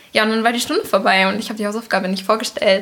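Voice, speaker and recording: A woman's voice in a monotone, with flat intonation. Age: 20s. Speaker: host's daughter. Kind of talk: casual interview.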